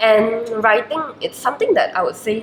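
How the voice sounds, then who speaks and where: A Chinese accent at a moderate pace, with noticeable background noise. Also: woman. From Malaysia. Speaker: university student. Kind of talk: interview. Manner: hesitant, many fillers.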